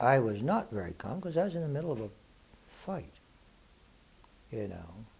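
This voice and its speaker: Somewhat breathy and dark, mellow in tone, a man's voice moves through very wide pitch swings. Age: 60s. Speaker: spiritual author and teacher, war veteran. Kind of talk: Q&A talk to an audience. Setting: live Q&A event with audience. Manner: casual, conversational.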